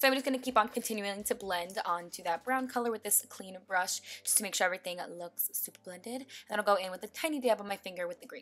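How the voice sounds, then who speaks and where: Over music in the background, a woman with a medium pitch speaks very fast in an upbeat tone, with ordinary pitch variation and big swings in loudness. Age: 20s. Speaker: beauty vlogger. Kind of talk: makeup tutorial voiceover. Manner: casual, upbeat.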